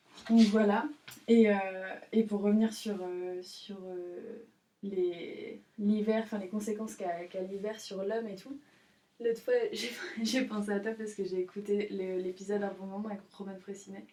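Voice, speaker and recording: The speech comes at a fairly slow pace with monotone, flat intonation and big swings in loudness. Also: woman, medium pitch for a woman. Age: 20s. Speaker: student, podcast guest. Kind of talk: casual chat. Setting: in the countryside. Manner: halting.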